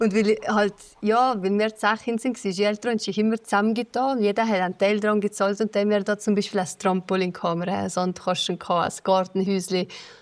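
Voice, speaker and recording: A woman with a Swiss German accent talks at a very fast pace, her medium pitch held in a fairly even intonation. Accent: Lötschental Swiss German dialect. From Switzerland, Valais, Lötschental. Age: 20s. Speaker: evacuated villager, former radio journalist. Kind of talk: interview testimony.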